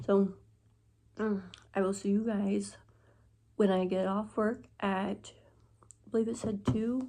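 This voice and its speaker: A woman speaks at medium pitch with a dark, mellow, somewhat breathy tone, at a fairly slow pace with long, frequent pauses. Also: ordinary pitch variation. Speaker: vlogger, fast food worker. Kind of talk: casual vlog.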